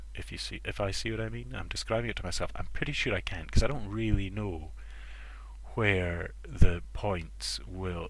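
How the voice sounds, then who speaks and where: A man with a Scottish accent at a moderate pace. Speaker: amateur programmer. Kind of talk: stream-of-thought coding commentary. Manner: thinking aloud, hesitant.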